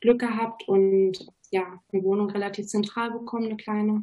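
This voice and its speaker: There is a dark, mellow tone to this woman's somewhat breathy voice. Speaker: university student. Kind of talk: studio talk show interview. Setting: studio.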